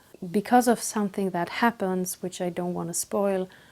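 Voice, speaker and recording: On a very clean recording with a silent background, a woman with a non-native accent speaks at a medium pitch in a dark, mellow tone and fairly even intonation. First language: not English. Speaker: book vlogger. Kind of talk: casual book review monologue. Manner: hesitant, with fillers.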